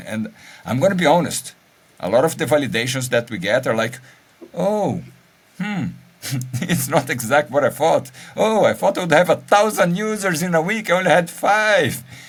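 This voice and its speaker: Speaking at a moderate pace with long, frequent pauses, a man with a Brazilian accent uses a fairly high, lively pitch touched by vocal fry. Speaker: podcast co-host. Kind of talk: casual chat.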